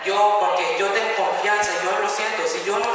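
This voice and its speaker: A man raises and projects his voice amid strong room echo and noticeable background noise. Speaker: youth preacher. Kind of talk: sermon. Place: church.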